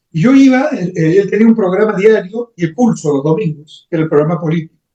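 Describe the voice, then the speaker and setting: A man speaks very fast with a high pitch, a dark, mellow tone and lively intonation. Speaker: economist and professor. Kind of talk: interview.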